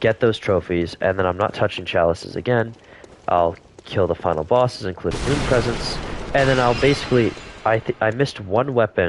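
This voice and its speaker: Noticeable background noise sits behind a man with a fairly low pitch. He talks at a fairly quick pace with very even loudness. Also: ordinary pitch variation. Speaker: gaming streamer. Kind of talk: live gameplay stream chat. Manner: casual, hesitant with fillers.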